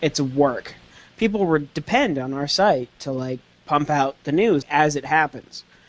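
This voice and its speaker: With a plain, everyday voice, this man speaks fairly slowly at a fairly high pitch, his intonation lively. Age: 20s. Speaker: anime news writer. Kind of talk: casual chat.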